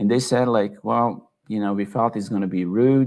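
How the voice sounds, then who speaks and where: A man speaks with a slight Serbian accent. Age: 40s. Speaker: tech entrepreneur. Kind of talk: online talk / presentation. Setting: office in Belgrade, online event. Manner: many filler words (uh, you know).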